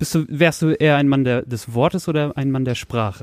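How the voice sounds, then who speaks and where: This man has an ordinary speaking voice with lively intonation. He talks at a moderate pace. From Lower Saxony, Soltau area. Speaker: podcast host. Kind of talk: casual chat. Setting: bedroom home studio.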